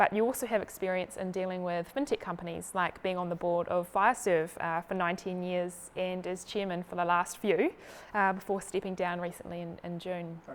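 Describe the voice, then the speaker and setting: In a very clean recording with a silent background, a woman with a normal speaking voice talks at a medium pitch, a fairly quick pace and fairly even intonation. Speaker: interviewer. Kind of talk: interview question.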